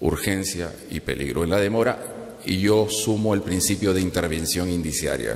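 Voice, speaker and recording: This man's very deep, low voice moves at a moderate pace with ordinary pitch variation. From Peru. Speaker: legal scholar; conference panelist. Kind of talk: conference talk. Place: hall. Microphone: podium.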